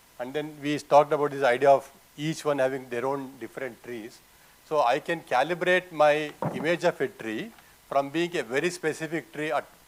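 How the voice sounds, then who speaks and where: This man has a Kannada accent and talks at a moderate pace with ordinary pitch variation. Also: fairly high pitch for a man. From Karnataka, South India. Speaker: artist. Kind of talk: panel conversation. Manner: halting.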